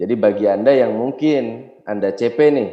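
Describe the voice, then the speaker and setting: The man's tone is dark and mellow. He speaks at a very slow pace with ordinary pitch variation. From Indonesia, Yogyakarta (Java). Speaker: network marketing business trainer. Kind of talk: motivational seminar talk.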